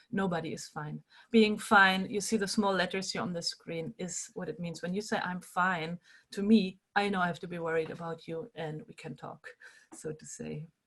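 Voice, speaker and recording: With a German accent, a woman speaks at a moderate pace and medium pitch, using ordinary pitch variation and big swings in loudness. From Germany. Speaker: animal rights activist and workshop leader. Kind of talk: online workshop talk.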